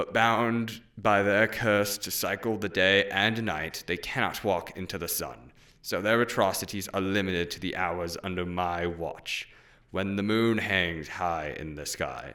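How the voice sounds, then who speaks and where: A booming, put-on character voice from a man, fairly low in pitch and moderate in pace. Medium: read story. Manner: solemn, commanding, humorless.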